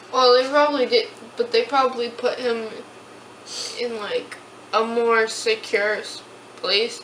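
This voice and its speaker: Against noticeable background noise, a woman with a high pitch speaks at a fairly slow pace in a monotone, flat intonation, leaving long, frequent pauses. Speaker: YouTuber. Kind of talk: casual chat. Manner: quiet.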